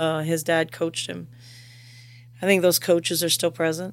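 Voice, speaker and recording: A woman speaks with an American accent. Her pitch is fairly low and her intonation fairly even. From US South, south Louisiana (Houma area). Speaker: youth center director. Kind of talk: casual interview.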